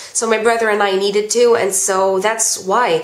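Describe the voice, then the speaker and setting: A woman with an American accent and a fairly high pitch speaks through audible room echo and noticeable background noise. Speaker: vlogger. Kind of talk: Q&A vlog. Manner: casual, hesitant with ums.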